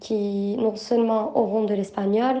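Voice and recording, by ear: Audible room echo surrounds a woman speaking at a medium pitch with a dark, mellow tone, fairly even intonation and a fairly slow pace.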